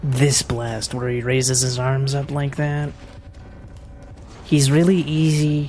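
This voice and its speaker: The speech moves very slowly with fairly even intonation and long, frequent pauses, set against audible room echo and background music. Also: woman. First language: French. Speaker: speedrunner. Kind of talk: live gameplay commentary. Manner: casual.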